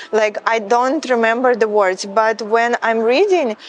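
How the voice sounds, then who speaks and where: Against noticeable background noise, a woman with a Ukrainian accent talks fairly slowly at a fairly high pitch. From Ukraine. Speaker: model. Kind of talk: interview.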